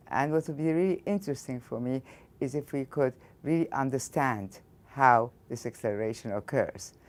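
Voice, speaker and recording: A woman's very deep, low voice with an Egyptian accent and lively intonation. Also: moderate pace, very clean recording, silent background. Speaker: physics professor. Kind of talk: interview.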